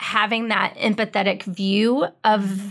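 A woman's fairly high-pitched voice. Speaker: radio host. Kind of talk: casual chat. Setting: radio studio. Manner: soft-spoken.

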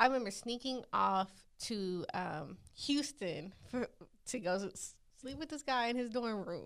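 A woman talks in a normal speaking voice at a fairly high pitch. Her pace is fairly slow and her intonation lively. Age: 20s. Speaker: podcast co-host. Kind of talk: casual chat.

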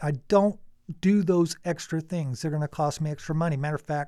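At a fairly quick pace, a man with a fairly high pitch talks in an ordinary speaking voice with fairly even intonation, recorded very cleanly against a silent background. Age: 50s. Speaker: coyote hunter and game call sound maker. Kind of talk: casual chat.

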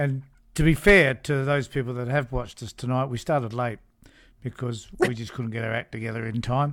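An Australian accent from a man, with ordinary pitch variation. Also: medium pitch for a man, fairly quick pace. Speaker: podcast host and minor party figure. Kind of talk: interview. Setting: video call.

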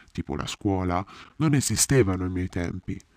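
The man's tone is dramatic and his pace fairly quick. The recording is very clean with a silent background, dry and close with no echo. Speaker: actor playing Ulysses. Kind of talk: theatrical first-person monologue in character, confiding storytelling to the audience. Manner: dramatic, expressive and intimate, with a wry, self-deprecating tone.

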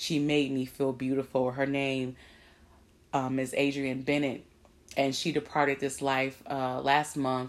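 A woman speaks at a fairly slow pace in a very deep, low voice, captured in a very clean recording with a silent background. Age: 30s. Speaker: podcast host. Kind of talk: casual monologue. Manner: animated.

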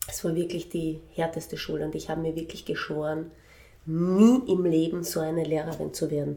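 A woman at a fairly quick pace, fairly low in pitch with fairly even intonation, amid audible room echo. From Vienna, Austria. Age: 40s. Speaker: children's music educator. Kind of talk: interview. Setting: in her music studio.

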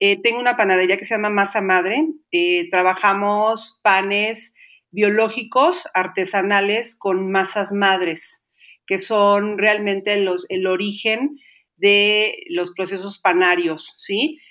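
Her tone is bright and sharp, with medium pitch and ordinary pitch variation. The woman speaks at a very slow pace. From Mexico, Xalapa, Veracruz. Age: 50s. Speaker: baker and Pilates teacher. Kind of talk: interview.

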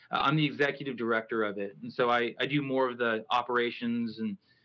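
A man's medium-pitched voice, bright and sharp in tone, at a fairly quick pace. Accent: American. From US South, Houston, Texas. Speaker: small church pastor. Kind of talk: casual chat.

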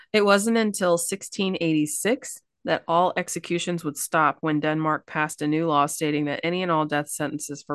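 In a Kentucky accent, a woman with a very deep, low pitch speaks in a dry, close sound with no echo. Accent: Kentucky Southern. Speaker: podcast co-host. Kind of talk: casual storytelling chat.

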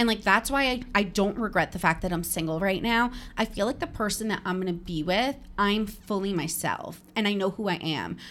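In a very clean recording with a silent background, a woman with an American accent and a plain, everyday voice speaks at a fairly quick pace, at medium pitch with ordinary pitch variation. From New Jersey. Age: 30s. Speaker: podcaster and content creator. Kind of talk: casual interview chat. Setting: office.

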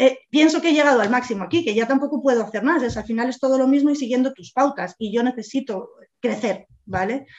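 At a very fast pace, a woman speaks with a high pitch and ordinary pitch variation. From Spain, Madrid. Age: 40s. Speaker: real estate agent and business owner. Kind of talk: interview.

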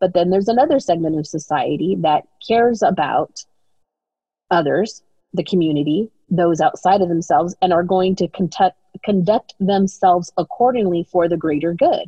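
Using a normal speaking voice, a woman talks at medium pitch and a moderate pace, with ordinary pitch variation and very even loudness. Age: 40s. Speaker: podcast guest, host's sister. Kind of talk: casual interview conversation. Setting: at home, remote interview.

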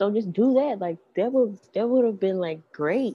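A woman's medium-pitched voice in an American accent, with ordinary pitch variation and a fairly quick pace. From US South, Memphis. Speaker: podcast co-host. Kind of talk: casual chat.

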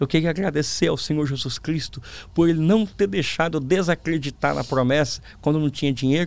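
Pitched fairly high, a man talks at a very fast pace. His pitch variation is ordinary. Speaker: pastor and preacher. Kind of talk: testimony interview. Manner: calm.

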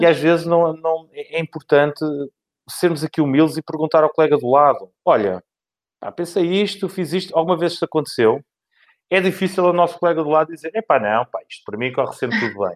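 Captured in a very clean recording with a silent background, a man talks fairly quickly at a fairly high pitch. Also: ordinary pitch variation, dry, close sound with no echo. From Portugal, Lisbon. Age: 40s. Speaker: outsourcing manager. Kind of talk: interview. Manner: talkative.

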